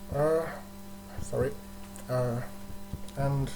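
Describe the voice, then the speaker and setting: A man's medium-pitched voice with a German accent and lively intonation, amid noticeable background noise and audible room echo. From Germany. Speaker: livestream host, fan page admin. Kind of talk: casual livestream chat. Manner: halting, many fillers.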